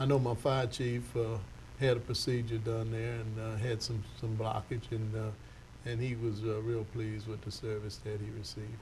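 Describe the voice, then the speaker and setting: A man speaks at a medium pitch and moderate pace in a monotone, flat way. His voice is somewhat breathy, and audible room echo surrounds it. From Louisiana. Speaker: TV show host. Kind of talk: interview. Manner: halting.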